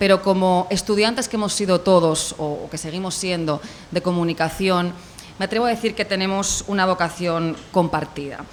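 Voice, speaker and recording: Against noticeable background noise, a woman with a Spanish accent and a medium-pitched voice talks fairly quickly with ordinary pitch variation. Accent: Spanish (Spain). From Spain. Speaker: corporate communications representative. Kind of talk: welcome speech at a university event. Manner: formal.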